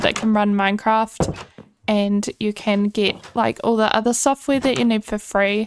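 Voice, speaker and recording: A woman with a New Zealand accent talks in a relaxed tone at a moderate pace. Her pitch is fairly high, with ordinary pitch variation. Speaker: gaming YouTuber. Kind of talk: casual gameplay commentary. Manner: relaxed, chatty.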